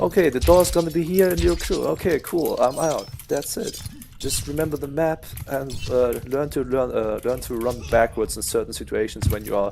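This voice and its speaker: A man speaks at a moderate pace with a German accent, and noticeable background noise runs behind him. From Germany. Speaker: video game coach. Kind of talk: gameplay tutorial. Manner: casual with many fillers.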